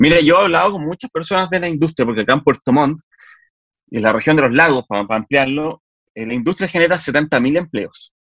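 The speaker talks at a fairly quick pace with a Chilean accent and lively intonation. The sound is dry and close, with no echo. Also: man, fairly high pitch for a man. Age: 40s. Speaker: politician. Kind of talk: interview. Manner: halting.

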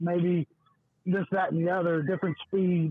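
A man is speaking. His pitch is high. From Tennessee. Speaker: caller, angler. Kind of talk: casual chat.

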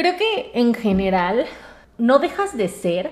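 The speaker is a woman with a Mexico City accent. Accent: Mexican Spanish (Mexico City). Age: 20s. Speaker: podcast host. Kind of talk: solo casual monologue. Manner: chatty, many filler words.

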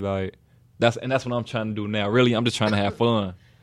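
A man at medium pitch with a Chicago accent and monotone, flat intonation. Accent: Southern-sounding Chicago West Side. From Chicago, West Side. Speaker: rapper. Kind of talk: casual chat.

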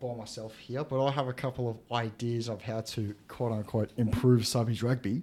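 At a moderate pace, a man with an Australian accent speaks at a medium pitch. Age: 20s. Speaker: podcast host. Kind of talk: casual interview.

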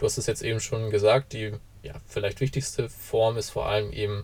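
A fairly quick pace marks a man's speech, heard on a very clean recording with a silent background. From northern Germany, Kiel. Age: 20s. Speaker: university student and blockchain association board member. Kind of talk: explanatory interview.

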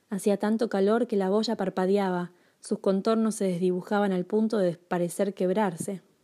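The speaker has a natural reading voice. The intonation stays fairly even.

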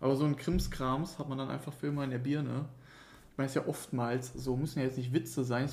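Somewhat breathy, a man rattles along at a very fast pace in a monotone, flat intonation. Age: 20s. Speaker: podcast co-host. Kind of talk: casual chat.

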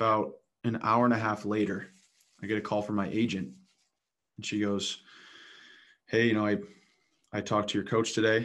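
With a US Midwestern accent, a man talks at a fairly quick pace in a fairly low pitch, his intonation fairly even over a quiet background. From US Midwest (Illinois). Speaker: professional volleyball player. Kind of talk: casual interview chat.

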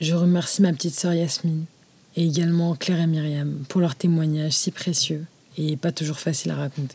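Monotone, flat intonation meets a dark, mellow, somewhat breathy tone at a fairly quick pace. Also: woman, fairly low pitch for a woman. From France, Moroccan heritage. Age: 20s. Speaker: podcast host. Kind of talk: scripted narration.

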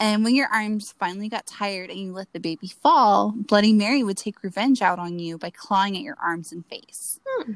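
A woman with an American accent at a medium pitch, moderate pace, hardly any pauses, big swings in loudness, ordinary pitch variation and a dry, close sound with no echo. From Florida, US. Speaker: podcast co-host. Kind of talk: casual chat. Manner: giggly.

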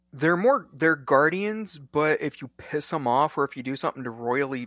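Speaking with an American accent, a man talks at a fairly high pitch and a moderate pace with ordinary pitch variation. The sound is dry and close with no echo, on a very clean recording with a silent background. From Santee Dakota Sioux community, US Plains. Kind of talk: casual chat. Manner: halting.

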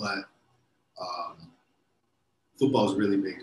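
An American accent shapes this man's speech. His voice is somewhat breathy. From US Midwest, Chicago suburbs. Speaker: music producer and former football player. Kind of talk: casual interview chat. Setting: remote call from overseas.

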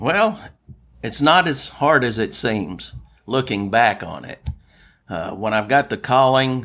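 On a very clean recording with a silent background, a man talks with a Louisiana accent. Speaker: founder of a nonprofit for veterans. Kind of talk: interview. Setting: hotel room.

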